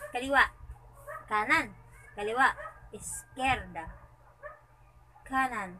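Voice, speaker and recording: A woman speaks at a very slow pace, leaving long, frequent pauses. Light background noise sits behind her. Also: ordinary pitch variation. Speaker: sleepy partner in a dialect challenge. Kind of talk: casual reading of a word list, translating Tagalog words into Chavacano. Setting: recorded secretly, indoors. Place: home room. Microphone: phone near.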